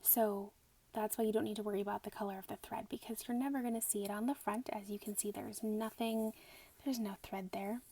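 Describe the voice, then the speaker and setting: The speaker is soft-spoken. The words come at a very fast pace. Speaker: quilting instructor. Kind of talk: ASMR sewing tutorial.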